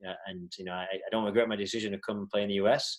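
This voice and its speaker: This man's fairly low voice rushes along at a very fast pace. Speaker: soccer coach. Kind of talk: Q&A talk on video call. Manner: hesitant, many fillers and repeats.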